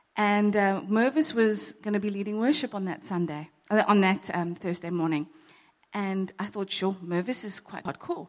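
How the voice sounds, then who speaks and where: At a moderate pace, a woman talks in a normal speaking voice at medium pitch. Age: 40s. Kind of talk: testimony. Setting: church.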